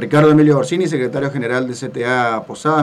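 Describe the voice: Audible room echo surrounds a man speaking at a fast pace. His pitch is medium.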